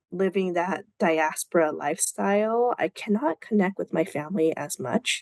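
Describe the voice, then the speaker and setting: A woman with an American accent has an unremarkable speaking voice at medium pitch, talking at a moderate pace with hardly any pauses and ordinary pitch variation, in a dry, close sound with no echo. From United States. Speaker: podcast host. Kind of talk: casual chat.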